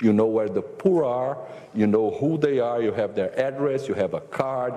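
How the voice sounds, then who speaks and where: With a Portuguese accent, a man speaks at medium pitch and a moderate pace, his intonation lively. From Brazil. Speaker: government minister and economist. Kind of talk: panel discussion. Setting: forum panel with audience. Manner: halting, many repetitions and fillers.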